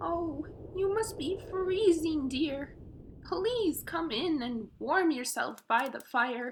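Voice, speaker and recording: In a put-on character voice, someone speaks at a high pitch and a very slow pace. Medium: read story. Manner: warm, motherly.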